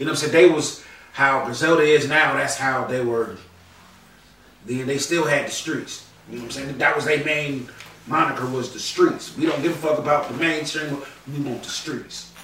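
Amid noticeable background noise and audible room echo, a man with an American accent speaks at a moderate pace with a fairly high pitch, fairly even intonation, and big swings in loudness. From North Carolina. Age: 30s. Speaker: podcast co-host, battle rap commentator. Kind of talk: casual chat.

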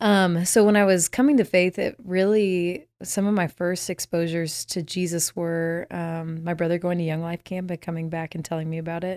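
Using an unremarkable speaking voice, a woman talks at a moderate pace with hardly any pauses, fairly even intonation and fairly low pitch. The recording is very clean with a silent background and a dry, close sound with no echo. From Texas, Dallas. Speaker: worship leader. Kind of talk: casual interview.

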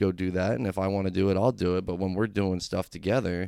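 A man with a fairly low pitch talks at a moderate pace in an unremarkable speaking voice, on a very clean recording with a silent background. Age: 30s. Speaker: rapper. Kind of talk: casual chat.

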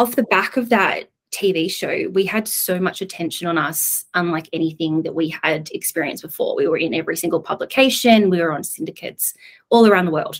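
A woman speaks with an Australian accent at a medium pitch. Her pace is moderate and her pitch varies in an ordinary way. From Australia, Coffs Harbour. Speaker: tech entrepreneur. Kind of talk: podcast interview.

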